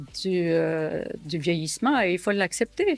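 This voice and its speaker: A woman's medium-pitched voice at a very slow pace, lively in intonation, with music in the background. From Syria. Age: 70s. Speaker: entrepreneur and author. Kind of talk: documentary interview testimony. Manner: hesitant, many fillers.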